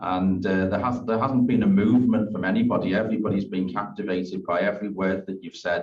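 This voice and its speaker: A man talks at a very fast pace with a strong Liverpool accent. The room echo is audible. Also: hardly any pauses. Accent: Liverpool accent, still strong. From Liverpool, England. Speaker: school principal. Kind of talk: thank-you speech.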